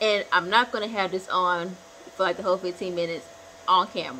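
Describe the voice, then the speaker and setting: A woman speaks over noticeable background noise. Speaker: hair care vlogger. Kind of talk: tutorial. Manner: casual, chatty; loud.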